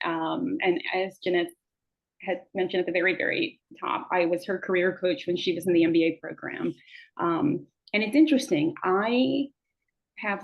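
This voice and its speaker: A woman with an American accent talks at a moderate pace in an unremarkable speaking voice, medium in pitch with lively intonation. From Boston, US. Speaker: career coach. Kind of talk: self-introduction.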